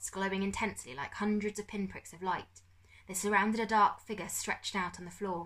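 With fairly even intonation, the passage comes in an unforced reading voice.

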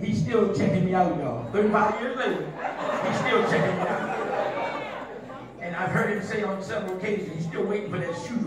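Over crowd noise and audible room echo, a man talks at a fairly quick pace with ordinary pitch variation. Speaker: elder preaching at a church service. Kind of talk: sermon. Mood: warm, joking, celebratory. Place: church.

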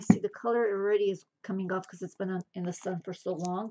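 Against a quiet background, a woman talks at a fairly quick pace with fairly even intonation. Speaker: thrift reseller. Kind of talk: casual haul vlog chat. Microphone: phone near.

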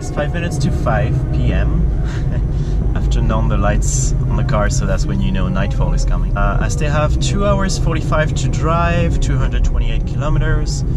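A man at a moderate pace, dry sound with no echo, music in the background. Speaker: travel vlogger. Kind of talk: casual vlog chat. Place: car. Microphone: phone near.

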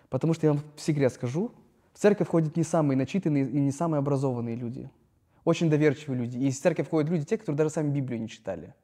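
A man's dark, mellow voice at a fairly high pitch, very fast, with ordinary pitch variation over a quiet background. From Russia, Noyabrsk (Yamal, northern Siberia); Russia. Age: 30s. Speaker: startup founder and influencer; podcast guest. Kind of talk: casual chat. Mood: reflective, candid. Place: hall. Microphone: lapel.

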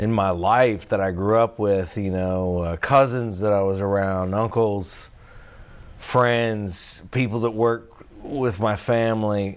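At a very slow pace, a man with a fairly low pitch speaks with fairly even intonation. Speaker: stand-up comedian. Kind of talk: casual talk to camera. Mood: calm, reflective. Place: garage.

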